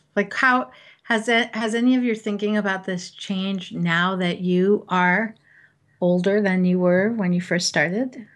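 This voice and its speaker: Against a quiet background, a woman uses an ordinary speaking voice at medium pitch, speaking at a fairly slow pace with ordinary pitch variation. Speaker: podcast co-host. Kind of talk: casual conversational interview.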